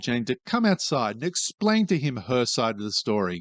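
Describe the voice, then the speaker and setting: A man with an Australian accent speaks at a fairly quick pace, his pitch swinging very widely. The sound is dry and close with no echo, over a quiet background. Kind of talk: reddit story reading.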